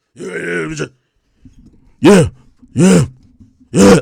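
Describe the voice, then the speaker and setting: This is a put-on character voice with a gravelly sound. Its pitch swings very widely. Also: man, medium pitch for a man. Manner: mocking imitation.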